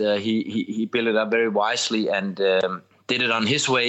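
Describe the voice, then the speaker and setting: The speaker has a Danish accent and fairly even intonation. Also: man. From Denmark. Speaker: former footballer and TV pundit. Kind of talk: podcast interview. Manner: halting, many repetitions and fillers.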